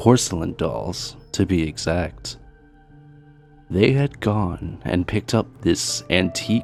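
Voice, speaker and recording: With music in the background, a man speaks very slowly in a very deep, low voice that swings very widely in pitch. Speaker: horror story narrator. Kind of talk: true scary story narration.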